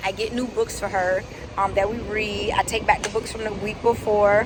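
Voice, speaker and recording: With noticeable background noise, a woman speaks at a medium pitch with fairly even intonation. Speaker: lifestyle vlogger. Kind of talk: casual vlog. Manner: whispering.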